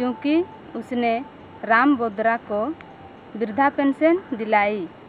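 A woman talks with ordinary pitch variation. Background noise is noticeable. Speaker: community reporter. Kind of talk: field report and interview.

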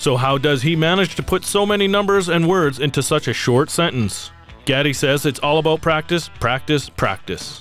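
With music in the background, a man speaks at a moderate pace, his fairly high pitch rising and falling in an ordinary way at very even loudness. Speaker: agricultural news reporter. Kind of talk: news report narration.

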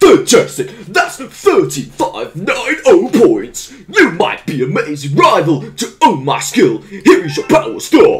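A man puts on a character voice pitched extremely high. He talks at a fairly slow pace with hardly any pauses. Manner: playful announcer-like.

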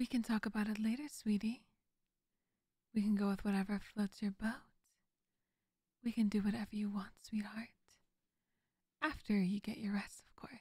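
A soft-spoken voice with a soothing tone leaves long, frequent pauses. The background is quiet, and the sound is dry with no echo. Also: moderate pace. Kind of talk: audio roleplay dialogue. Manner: soft, soothing bedtime ASMR voice. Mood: soft, affectionate, soothing.

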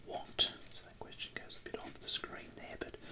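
Soft-spoken whispering moves at a fairly quick pace over loud background noise. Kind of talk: tutorial. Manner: soft whispered explanation. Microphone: phone near.

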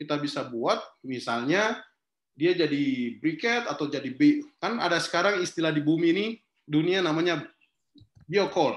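In a Sulawesi accent, the speaker uses lively intonation amid audible room echo. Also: man. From Kendari, Southeast Sulawesi, Indonesia; Southeast Sulawesi, Indonesia. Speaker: forest activist and social entrepreneur; guest. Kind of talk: online talk interview. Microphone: video call.

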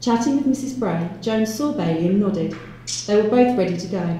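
Intonation stays lively throughout. This is plain reading aloud.

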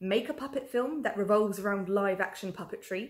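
A somewhat breathy woman at a moderate pace, quiet background behind her. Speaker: festival host. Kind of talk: presenter introduction. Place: workshop.

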